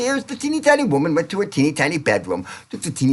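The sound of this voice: An unstrained voice reading aloud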